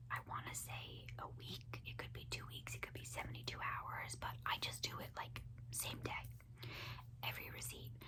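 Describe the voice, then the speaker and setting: Someone whispers, soft-spoken and relaxed in tone, at a moderate pace. Noticeable background noise sits behind the voice. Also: woman. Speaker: ASMR creator. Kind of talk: whispered ASMR ramble to camera. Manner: soft-spoken, whispered, relaxed.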